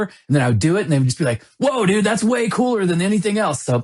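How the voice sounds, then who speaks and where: A somewhat breathy man speaks at a very fast pace. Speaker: rock band singer. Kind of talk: interview.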